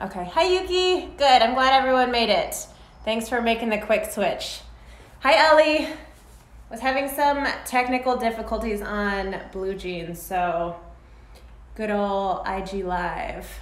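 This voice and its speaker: Speaking at a fairly slow pace with long, frequent pauses, a woman is heard with audible room echo. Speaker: fitness instructor. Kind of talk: live workout class instruction.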